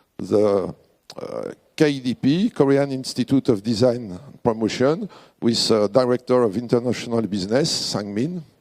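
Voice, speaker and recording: In a very clean recording with a silent background and a dry, close sound with no echo, a man speaks with a French accent at a fairly slow pace. His medium-pitched voice has a dark, mellow tone and lively intonation. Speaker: president of a design award organisation. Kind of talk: award ceremony speech. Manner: halting.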